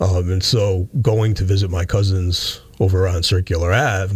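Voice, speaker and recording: Fairly even in intonation, this voice has a somewhat breathy quality. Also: man. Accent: American. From western Massachusetts (Pittsfield). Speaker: police chief. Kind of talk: interview. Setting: radio studio.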